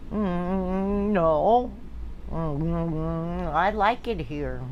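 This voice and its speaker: Someone is doing a put-on character voice. Clear background noise runs behind it. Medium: stage play. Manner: meek, apologetic.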